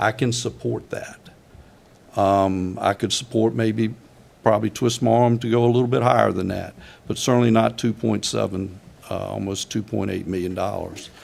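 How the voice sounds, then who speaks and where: Man with a Virginia accent at a moderate pace, fairly even in intonation. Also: medium pitch for a man. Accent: Virginia Southern. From Virginia, Louisa County. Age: 70s. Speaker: county supervisor. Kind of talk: public meeting deliberation. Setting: board meeting room. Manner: halting.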